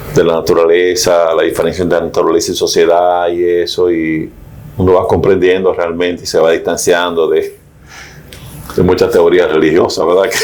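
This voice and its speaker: Over noticeable background noise and audible room echo, a man talks at a moderate pace with very even loudness. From Dominican Republic, Mao. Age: 70s. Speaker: philosophy professor. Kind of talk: interview. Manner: halting.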